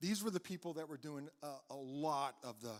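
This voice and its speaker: A man talks in a fairly high pitch with ordinary pitch variation. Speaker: county emergency services chief. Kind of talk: presentation to an audience. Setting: live event with audience. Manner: fast; repeats words, some fillers.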